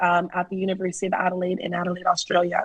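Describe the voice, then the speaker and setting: A woman speaks in a Washington DC accent at a medium pitch. There is noticeable background noise. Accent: very American, DC. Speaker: winemaker. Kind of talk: interview.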